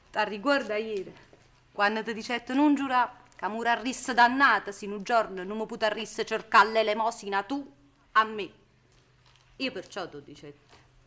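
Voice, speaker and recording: Speaking at a moderate pace in a Neapolitan accent, a woman leaves long, frequent pauses, with ordinary pitch variation and big swings in loudness. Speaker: stage actress. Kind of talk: stage play performance, Neapolitan drama.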